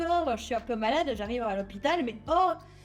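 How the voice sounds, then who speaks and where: A woman speaks with lively intonation and a non-native accent on a very clean recording with a silent background. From Netherlands. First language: not French (speaking French). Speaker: cybersecurity researcher and lecturer. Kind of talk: popular science talk. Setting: stage with audience. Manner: hesitant, many fillers.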